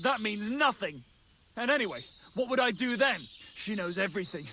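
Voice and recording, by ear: This put-on character voice has a bright, sharp tone, lively intonation and a moderate pace. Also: man, high pitch for a man.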